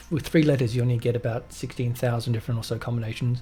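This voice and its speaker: This man has a Melbourne accent. His pitch is medium. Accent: Australian (Melbourne). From Australia, Melbourne. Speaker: flight sim gamer. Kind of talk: gameplay commentary. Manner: casual, many fillers.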